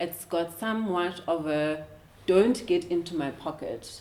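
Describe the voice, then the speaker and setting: Noticeable background noise sits behind this woman's voice. She has a South African accent and a fairly low pitch. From South Africa, Eastern Cape (former Transkei). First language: isiXhosa. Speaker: finance professional and educator. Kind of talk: interview. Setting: studio. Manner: hesitant, many filler words.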